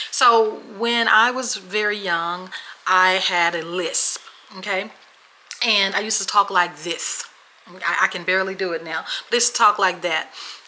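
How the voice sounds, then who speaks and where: With an American accent, the speaker sounds animated, moving at a moderate pace with long, frequent pauses over noticeable background noise. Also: woman, medium pitch for a woman. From Memphis, Tennessee (born Washington State). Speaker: podcast co-host. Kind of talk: casual chat, storytelling.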